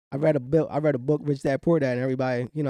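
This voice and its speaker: Here a man talks very fast with a Philadelphia accent. His voice is fairly high in pitch, with a dark, mellow tone. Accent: Philadelphia-area American English. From Camden, New Jersey. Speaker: real estate investor. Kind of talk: interview answer. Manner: high-energy, positive.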